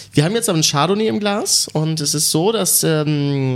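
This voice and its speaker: A man's voice sits fairly high in pitch, with ordinary pitch variation. His pace is moderate, and noticeable background noise can be heard. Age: young. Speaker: sommelier. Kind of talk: wine tasting commentary. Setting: wine club venue.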